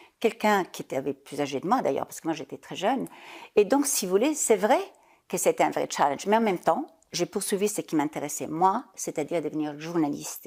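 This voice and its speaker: On a very clean recording with a silent background, a woman's voice moves through very wide pitch swings and big swings in loudness. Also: fairly low pitch for a woman. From Italy (Parma). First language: German (speaking French). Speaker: business leader, former journalist. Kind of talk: interview.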